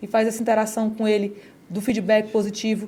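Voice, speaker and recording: This woman's voice sits fairly high in pitch and sounds somewhat breathy. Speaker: education company presenter. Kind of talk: sales pitch. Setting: studio. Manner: fast.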